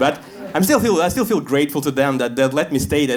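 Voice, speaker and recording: A fairly high-pitched man with a Russian accent and lively intonation. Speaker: stand-up comedian. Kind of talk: stand-up comedy set.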